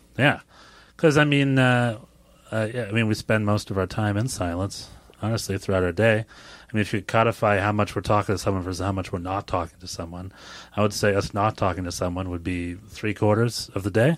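A fairly quick pace with ordinary pitch variation. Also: man. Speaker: podcast host. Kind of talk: casual chat. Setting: studio.

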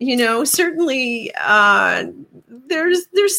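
A woman raises and projects her bright, sharp voice, speaking fairly slowly with very wide pitch swings. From Newfoundland. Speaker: podcast host. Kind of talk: interview.

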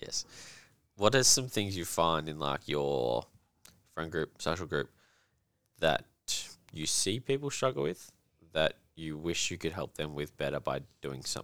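A man with an Australian accent speaks with a very deep, low pitch and vocal fry, at a moderate pace. His intonation is lively, broken by long, frequent pauses. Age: 20s. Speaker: podcast host and coach. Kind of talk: casual chat.

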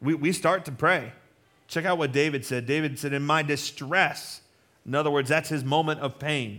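A man's fairly high-pitched voice with a bright, sharp tone. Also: moderate pace. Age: 40s. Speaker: pastor. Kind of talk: sermon. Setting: church. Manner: animated.

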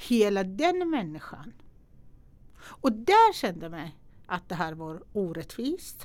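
A woman with a Persian accent at a very slow pace, on a very clean recording with a silent background. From Iran. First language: Persian (speaking Swedish). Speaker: entrepreneur and investor. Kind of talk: interview. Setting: studio.

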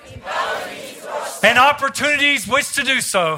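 Crowd noise fills the background and the room echo is audible. A man with an American accent talks at an extremely high pitch with ordinary pitch variation. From US South. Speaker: visiting preacher. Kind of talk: sermon; fervent closing prayer and blessing declaration over the congregation. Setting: church service with congregation. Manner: rhythmic, repetitive declarations with call-and-response prompts to the crowd.

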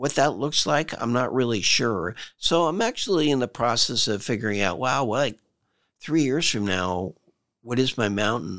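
A man speaks in a normal speaking voice at a moderate pace, medium in pitch with lively intonation. His loudness stays very even on a very clean recording with a silent background. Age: 60s. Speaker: leadership coach and author. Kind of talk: interview. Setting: studio.

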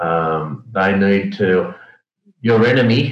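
A man with an Australian accent speaks at a fairly low pitch with ordinary pitch variation, and the room echo is audible. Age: 50s. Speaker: logistics executive. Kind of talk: interview.

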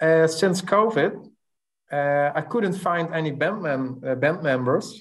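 With a Dutch accent, a man speaks at a very slow pace with ordinary pitch variation. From Netherlands. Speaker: rock musician in a band. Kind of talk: interview chat.

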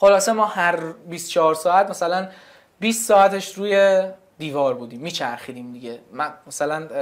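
A man with a high pitch talks at a moderate pace. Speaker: founder of a tech news media channel. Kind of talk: casual interview chat.

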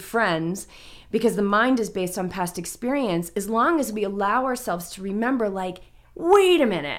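Moderate pace, medium pitch and ordinary pitch variation in a woman's unremarkable speaking voice. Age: 40s. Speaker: mindfulness coach and triathlete. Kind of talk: casual interview chat. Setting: in person with host.

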